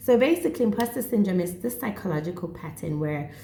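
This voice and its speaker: Somewhat breathy and dark, mellow in tone, a woman's fairly low voice moves at a moderate pace. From South Africa or Botswana, Setswana-speaking. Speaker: psychotherapist and vlogger. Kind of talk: casual vlog talk on mental health. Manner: animated.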